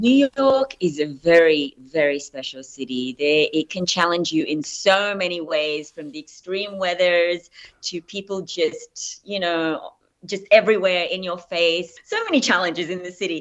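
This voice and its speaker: A woman with an Australian accent talks at a fairly slow pace in a fairly low pitch. Her loudness swings widely. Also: ordinary pitch variation. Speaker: actress. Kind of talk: interview.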